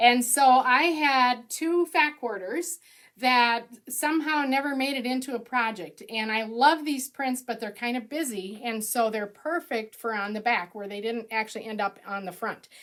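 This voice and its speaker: Recorded very cleanly against a silent background, a woman speaks in a high pitch with an Upper Midwest accent. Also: ordinary pitch variation, moderate pace. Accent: Upper Midwest American. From Minnesota. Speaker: quilt pattern designer. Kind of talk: live-streamed tutorial. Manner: chatty, upbeat.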